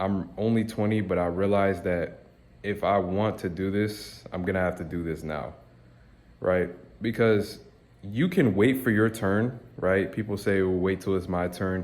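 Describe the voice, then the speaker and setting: With a normal speaking voice, a man talks at a fairly slow pace and fairly low pitch, his intonation fairly even. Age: 20s. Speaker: YouTuber, motivational vlogger. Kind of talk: casual vlog monologue. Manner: casual, slangy.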